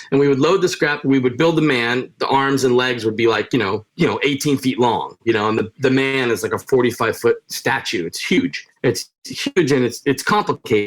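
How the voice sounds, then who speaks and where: A man with a New York accent speaks at a moderate pace and medium pitch, with ordinary pitch variation and hardly any pauses. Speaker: retired showman and punk musician. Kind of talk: podcast interview. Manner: loud, sounds like yelling.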